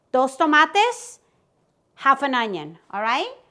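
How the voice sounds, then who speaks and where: In a raised, projected voice, a woman speaks with a high pitch, an animated tone and a bright, sharp quality. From Guatemala. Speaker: cooking video host. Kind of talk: cooking tutorial. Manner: chatty and animated.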